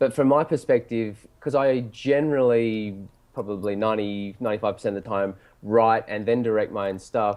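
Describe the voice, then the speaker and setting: Talking at a moderate pace, a man with an Australian accent has a medium pitch and ordinary pitch variation. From Australia, Sydney. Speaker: film director and writer. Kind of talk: casual interview.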